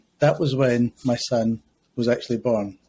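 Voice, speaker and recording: Speaking fairly slowly in a Scottish accent, a man has a medium pitch and a dark, mellow tone. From Scotland, Glasgow. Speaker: school principal. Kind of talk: podcast interview. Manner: hesitant, many fillers.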